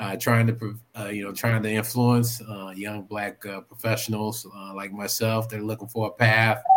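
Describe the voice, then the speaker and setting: His fairly low voice moves at a fairly slow pace, as this man speaks with monotone, flat intonation and big swings in loudness. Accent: American. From Oklahoma. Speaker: Navy veteran and public servant. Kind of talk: casual chat.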